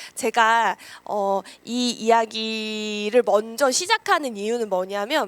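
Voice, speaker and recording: A fairly high-pitched woman at a very slow pace, on a very clean recording with a silent background and a dry, close sound with no echo. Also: ordinary pitch variation. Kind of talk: lecture. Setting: lecture room with audience.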